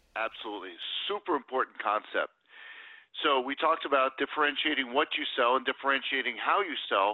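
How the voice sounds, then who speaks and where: A man speaks fairly quickly in a fairly high pitch with an American accent, ordinary pitch variation, and a normal speaking voice. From US Northeast, New Jersey. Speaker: sales consultant and author. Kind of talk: interview.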